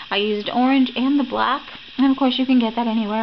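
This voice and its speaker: A woman speaks with an American accent at a fairly quick pace and with fairly even intonation. Noticeable background noise is present. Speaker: crafting YouTuber. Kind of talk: craft tutorial. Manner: casual, chatty.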